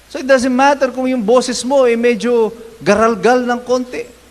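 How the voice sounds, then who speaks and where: Noticeable background noise sits behind a man with an extremely high pitch. He keeps a moderate pace and fairly even intonation. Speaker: pastor. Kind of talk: sermon. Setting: church.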